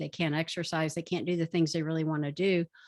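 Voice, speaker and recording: Here is an unremarkable speaking voice moving at a fairly quick pace. The recording is very clean, with a silent background. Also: woman. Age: 60s. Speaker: physician and author. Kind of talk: interview talk on health.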